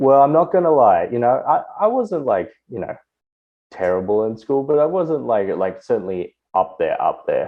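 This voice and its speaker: Words come at a moderate pace. They are spoken with an Australian accent. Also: man. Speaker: tech professional and podcast guest. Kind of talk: casual chat.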